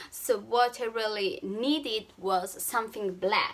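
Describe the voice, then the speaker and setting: Over noticeable background noise, a woman with an Italian accent and a fairly high pitch speaks at a very slow pace. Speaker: travel vlogger. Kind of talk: vlog tutorial. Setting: hotel room. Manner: halting, with fillers.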